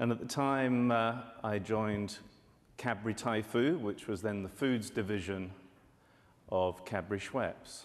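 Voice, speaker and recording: A man with a British accent speaks at a fairly slow pace in a fairly low pitch, with ordinary pitch variation, long, frequent pauses and audible room echo. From UK. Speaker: market research analyst. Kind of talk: conference presentation.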